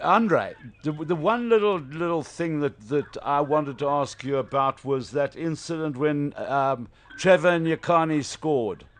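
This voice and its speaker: A man's fairly high-pitched voice at a fairly slow pace, with ordinary pitch variation and music in the background. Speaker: sports radio host. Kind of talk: casual radio interview. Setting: radio studio.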